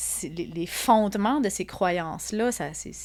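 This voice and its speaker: A woman with an Acadian accent speaks at a very slow pace with vocal fry. Her intonation is lively. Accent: Acadian French, noticeable. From Acadia (Atlantic Canada). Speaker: psychologist and art therapist. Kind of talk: interview conversation. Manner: hesitant, many fillers and repetitions.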